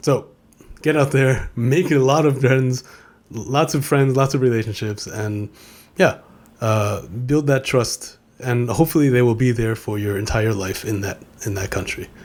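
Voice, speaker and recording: With a New York accent, a man speaks at a medium pitch. His pace is moderate and his pitch varies in an ordinary way. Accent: New York American. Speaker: podcast host, former DJ. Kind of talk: casual monologue. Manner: halting, many repeated words.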